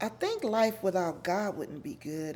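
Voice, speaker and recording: A woman speaks at a very slow pace with lively intonation. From Los Angeles, California (Watts). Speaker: interviewee sharing life story. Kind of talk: interview, personal life story. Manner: loud; giggly, laughs a lot.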